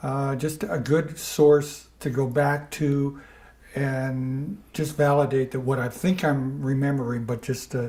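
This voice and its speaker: A fairly high-pitched man with a dark, mellow, somewhat breathy tone, at a very slow pace with fairly even intonation. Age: 70s. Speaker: older adult interviewee with memory issues. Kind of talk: recorded interview. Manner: halting, many fillers.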